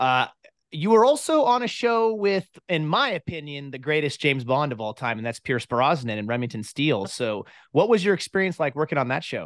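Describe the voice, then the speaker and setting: A man talks at a fairly quick pace with very wide pitch swings. The sound is dry with no echo, over a quiet background. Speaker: podcast host. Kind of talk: interview. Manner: animated. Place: home room. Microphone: studio mic.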